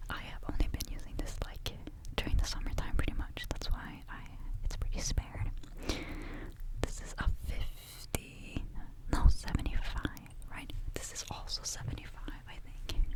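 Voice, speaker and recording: Whispered speech moves at a moderate speed, broken by long, frequent pauses. Noticeable noise sits in the background. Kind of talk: ASMR perfume review, casual talk to camera. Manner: soft, quiet ASMR delivery.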